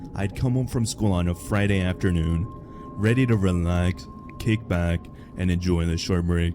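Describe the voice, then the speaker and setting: Noticeable background noise sits behind a man's very deep, low voice. He talks at a moderate pace with ordinary pitch variation. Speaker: horror story narrator. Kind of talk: horror story reading. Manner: stutters a little, some misspoken words.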